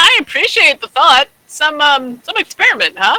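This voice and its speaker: A put-on character voice swings very widely in pitch at a moderate pace. The sound is dry and close with no echo. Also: woman, high pitch for a woman. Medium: actual play. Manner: mild, forgiving, a bit slow.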